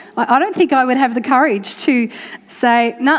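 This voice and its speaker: Noticeable background noise sits behind a woman's voice. Her pitch is high, with ordinary variation. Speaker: church preacher giving a sermon. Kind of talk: sermon to a congregation.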